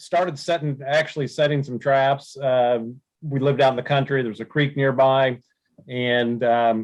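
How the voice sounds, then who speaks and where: A man with a plain, everyday voice talks at a moderate pace, his medium pitch carrying fairly even intonation. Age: 60s. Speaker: trapping supply business owner. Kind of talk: podcast interview.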